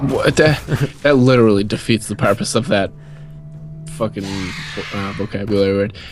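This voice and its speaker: Music plays in the background while a man speaks with an American accent. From New England, US. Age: young. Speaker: podcast co-host. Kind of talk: casual chat. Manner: animated.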